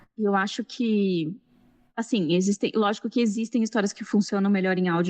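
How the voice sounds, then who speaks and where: Over a quiet background, a woman speaks at a medium pitch with ordinary pitch variation. Her pace is moderate, and the sound is dry and close with no echo. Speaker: science journalist and podcast scriptwriter. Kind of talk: panel discussion. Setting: live-streamed event panel.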